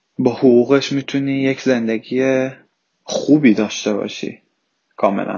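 A man talks with monotone, flat intonation. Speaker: immigrant student. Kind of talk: interview.

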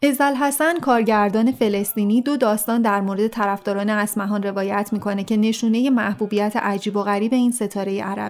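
At a fairly quick pace with hardly any pauses, a woman with a fairly high pitch and ordinary pitch variation speaks in an unremarkable speaking voice. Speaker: podcast narrator. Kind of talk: scripted narration.

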